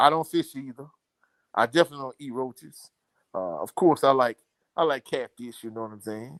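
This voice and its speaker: Recorded very cleanly against a silent background, with a dry, close sound and no echo, a man with a strong Louisiana accent speaks at a fairly quick pace in a medium pitch with ordinary pitch variation. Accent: thick Louisiana. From Louisiana, Baton Rouge. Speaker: sports commentator. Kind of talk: live stream chat.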